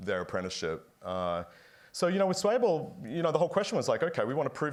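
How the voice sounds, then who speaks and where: A man with an American accent at a very fast pace, on a very clean recording with a silent background. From Australia. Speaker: company founder and CEO, former physicist. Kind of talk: panel fireside chat.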